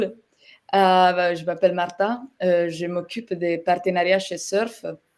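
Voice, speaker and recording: A woman's fairly low voice at a very slow pace, with a slight Italian accent. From Italy. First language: Italian (speaking French). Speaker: software partnerships manager, webinar guest. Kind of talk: webinar presentation. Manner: hesitant, many fillers.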